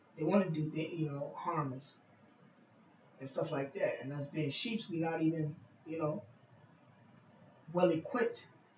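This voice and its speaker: Over noticeable background noise, a man with a fairly high pitch speaks at a moderate pace with ordinary pitch variation and long, frequent pauses. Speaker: bible teacher. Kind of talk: scripture reading with commentary. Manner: halting.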